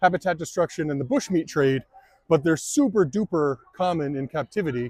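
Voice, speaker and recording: A man with an ordinary speaking voice, fairly high in pitch with ordinary pitch variation, in a dry, close sound with no echo. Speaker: turtle content creator. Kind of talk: casual vlog narration. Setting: outdoors at a zoo.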